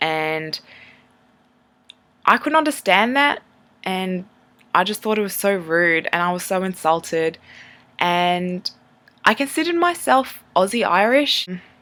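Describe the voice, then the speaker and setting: A woman with an Australian accent speaks at a medium pitch in a bright, sharp tone with lively intonation. Her fairly slow pace includes long, frequent pauses. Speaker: vlogger. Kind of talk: personal testimony vlog.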